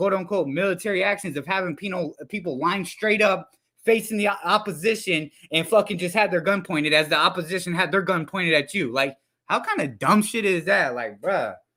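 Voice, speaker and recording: Shouting at a fairly quick pace, a man uses a high pitch with ordinary pitch variation. His tone is bright, sharp and passionate. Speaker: live streamer commenting on hip-hop news. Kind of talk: casual livestream commentary. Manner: yelling, passionate.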